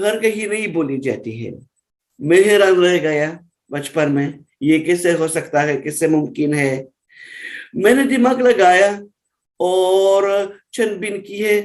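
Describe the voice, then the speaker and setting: A man is talking with lively intonation. His pitch sits high. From Russia. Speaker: Hindi teacher. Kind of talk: interview.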